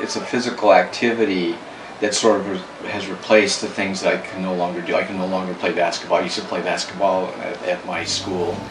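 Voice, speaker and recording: A man with a fairly low pitch speaks at a fairly quick pace with fairly even intonation. Noticeable background noise and audible room echo are present. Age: 60s. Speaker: dancer. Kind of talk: interview.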